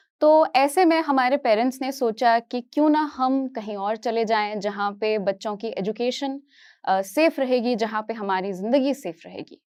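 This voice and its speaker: A woman talks with a high pitch and hardly any pauses. The recording is very clean, with a silent background. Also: ordinary pitch variation. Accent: Kashmiri. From Kashmir, India; later Hyderabad. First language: Kashmiri (speaking Hindi). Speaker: educator, motivational speaker. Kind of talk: inspirational talk on stage.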